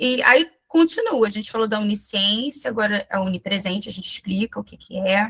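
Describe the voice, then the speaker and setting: A woman is talking at a fairly slow pace. Her pitch varies in an ordinary way. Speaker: missionary and children's ministry teacher. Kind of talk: online training talk. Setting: video call. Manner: halting, with false starts.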